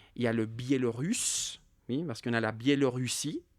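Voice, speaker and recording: A medium-pitched male voice on a very clean recording with a silent background. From Ukraine. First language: Russian (speaking French). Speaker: war witness, former school worker. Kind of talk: testimony interview. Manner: hesitant, many fillers and repetitions.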